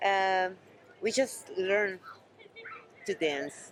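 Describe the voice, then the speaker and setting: A woman with a Spanish accent and lively intonation at a very slow pace. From Venezuela. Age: 50s. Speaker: TV show host and dancer. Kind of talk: interview.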